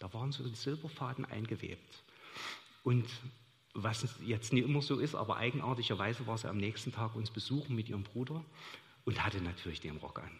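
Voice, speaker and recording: A somewhat breathy man speaks at a fairly quick pace and medium pitch. His pitch variation is ordinary, and he takes long, frequent pauses. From Saxony, Chemnitz. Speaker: church member sharing experiences. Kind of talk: onstage interview testimony. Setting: church service with congregation.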